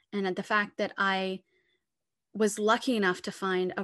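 Speaking at a fairly slow pace, a woman with a medium-pitched voice uses ordinary pitch variation against a quiet background. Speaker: opera company executive director. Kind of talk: interview answers. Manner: hesitant, filler-heavy.

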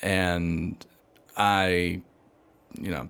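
Very deep, low-pitched man with a Southern US accent, in a very clean recording over a silent background. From US South, Georgia. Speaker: missionary and seminary student. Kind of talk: casual interview chat.

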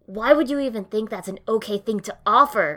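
Using a put-on character voice, a woman speaks fairly quickly at a fairly high pitch. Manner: angry, demanding.

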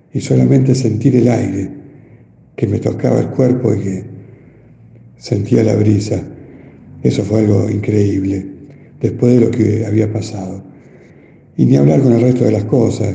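Lively intonation marks this man's fairly low-pitched voice, with long, frequent pauses. Audible room echo surrounds him. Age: 50s. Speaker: COVID survivor. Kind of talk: testimony. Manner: halting, hesitant.

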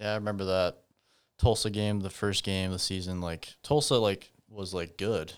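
A man's fairly low voice with a Midwestern US accent, at a moderate pace with fairly even intonation, on a very clean recording with a silent background. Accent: US Midwest. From Iowa (Humboldt). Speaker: podcast host, sports fan. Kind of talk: casual interview chat. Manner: rambling, many fillers (like).

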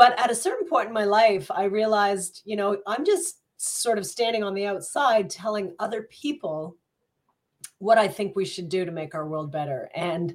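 In a normal speaking voice, a woman talks at medium pitch and a moderate pace with an American accent. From US, Colorado (born). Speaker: mayor, former journalist. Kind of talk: interview. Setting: video call from home office.

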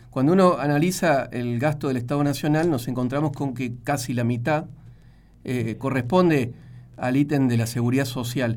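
This man has an ordinary speaking voice with a medium pitch. He talks at a moderate pace with ordinary pitch variation. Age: 40s. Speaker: radio host. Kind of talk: radio interview.

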